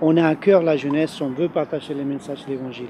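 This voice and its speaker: A man with an Argentine accent speaks at a fairly quick pace and fairly high pitch, with fairly even intonation over noticeable background noise. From Argentina. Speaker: youth ministry leader. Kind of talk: interview. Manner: hesitant, many fillers.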